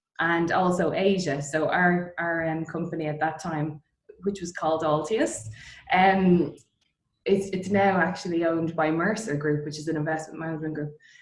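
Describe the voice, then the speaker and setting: A woman with an Irish accent speaks at a moderate pace in a fairly low voice, her intonation fairly even. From Ireland, Dublin. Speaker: distillery co-founder. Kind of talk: interview. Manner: hesitant, many fillers.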